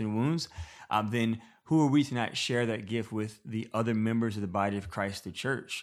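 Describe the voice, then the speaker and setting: At a moderate pace, an ordinary speaking voice comes through a very clean recording with a silent background. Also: man. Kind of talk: casual interview chat. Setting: in person.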